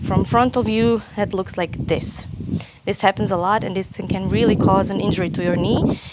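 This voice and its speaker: A woman with a Croatian accent speaks at a moderate pace against noticeable background noise. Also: medium pitch for a woman, lively intonation. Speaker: yoga teacher. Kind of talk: tutorial. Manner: halting.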